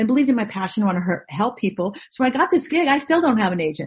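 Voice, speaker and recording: A woman speaks with an American accent at a fairly high pitch. Her voice makes very wide pitch swings. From Orange County, California. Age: 50s. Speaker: actress. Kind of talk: casual chat. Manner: animated.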